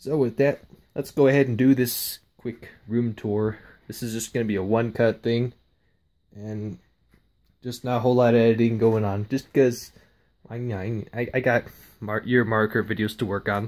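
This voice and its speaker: A man's monotone, flat delivery at a moderate pace, broken by long, frequent pauses. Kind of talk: casual vlog chat. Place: home room. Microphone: phone near.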